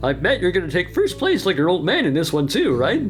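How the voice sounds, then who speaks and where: A man's put-on character voice at a very fast pace, with clear music in the background. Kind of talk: showman announcer. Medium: audio drama. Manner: jovial, upbeat.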